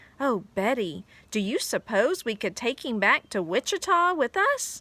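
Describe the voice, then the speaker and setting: Using a put-on character voice, a woman speaks at a high pitch and a moderate pace with very wide pitch swings, in a very clean recording with a silent background. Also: dry, close sound with no echo. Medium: read story. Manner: gushing, sweet.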